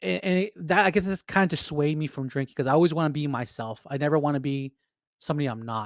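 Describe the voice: Speaking at a fast pace, a man uses a fairly high pitch with ordinary pitch variation. The sound is dry and close, with no echo.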